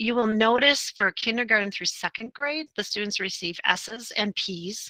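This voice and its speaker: A woman with a bright, sharp tone speaks at a moderate pace, the sound dry and close with no echo. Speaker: school tech trainer. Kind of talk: online training session.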